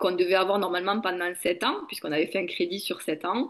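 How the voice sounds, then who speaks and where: A woman of medium pitch in a southern French accent, with ordinary pitch variation. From southern France, Béziers-Narbonne area. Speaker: network marketing entrepreneur. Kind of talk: interview.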